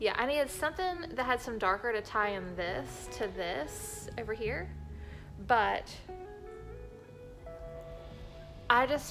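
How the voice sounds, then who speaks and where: A woman speaks with clear music in the background. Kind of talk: casual vlog chat. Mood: relaxed, chatty. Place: home room. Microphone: phone near.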